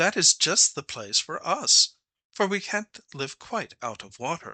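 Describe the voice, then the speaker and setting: Putting on a character voice, a man speaks at a high pitch and fairly slow pace over a quiet background. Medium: read story. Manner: courteous, gracious.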